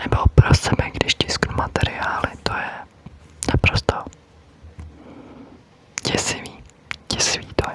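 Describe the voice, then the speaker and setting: Whispering, a woman talks at a very slow pace with long, frequent pauses. Noticeable background noise sits behind her. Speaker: ASMR creator; teacher. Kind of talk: ASMR whisper triggers for sleep. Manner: whispered, soft, slow.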